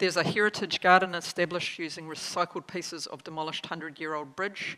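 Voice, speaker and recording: In a New Zealand accent, a woman with a fairly low pitch talks at a fairly quick pace in a bright, sharp tone with monotone, flat intonation. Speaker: government agency chief executive; conference presenter. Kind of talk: conference keynote speech. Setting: stage with audience. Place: hall. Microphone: podium.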